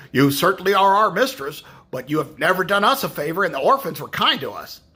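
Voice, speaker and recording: Putting on a character voice, a man rattles along at a very fast pace with a high pitch. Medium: read story. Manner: barking.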